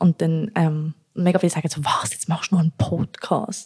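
Fairly low, somewhat breathy female voice of dark, mellow tone, dry and close with no echo. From Zürich, Switzerland. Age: 20s. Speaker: podcast co-host. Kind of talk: casual chat. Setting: home kitchen.

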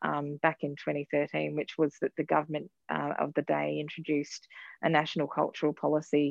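An Australian accent from a woman, at a moderate pace. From Queensland, Australia. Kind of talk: interview. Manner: hesitant, many fillers.

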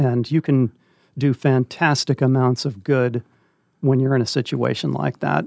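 An ordinary speaking voice with an American accent, moderate pace, ordinary pitch variation and very even loudness, dry, close sound with no echo, quiet background. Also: man, medium pitch for a man. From Northern California. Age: 60s. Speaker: retired English teacher and volunteer reader. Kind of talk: interview.

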